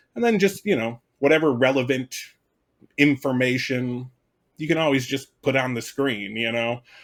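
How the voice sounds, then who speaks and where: This is a normal speaking voice from a man at a medium pitch. He goes at a moderate pace with ordinary pitch variation. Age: 40s. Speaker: content creator. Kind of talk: casual chat.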